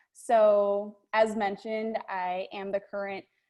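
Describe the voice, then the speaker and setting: In an American accent, a woman speaks at a fairly slow pace with monotone, flat intonation over a quiet background. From New York (Long Island). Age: 20s. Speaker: TV news anchor. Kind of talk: presentation to a group.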